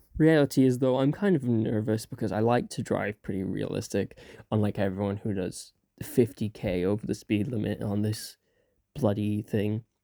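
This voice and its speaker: A man speaks with an Irish accent in a fairly low pitch and a dark, mellow tone, using ordinary pitch variation at a moderate pace. The sound is dry and close with no echo, on a very clean recording with a silent background. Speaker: VTuber gamer. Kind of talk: gameplay commentary voice-over. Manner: hesitant, many fillers.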